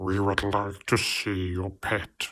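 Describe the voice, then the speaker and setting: A put-on character voice in a flat monotone, over a very clean recording with a silent background. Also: man. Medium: read story. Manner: formal, officious.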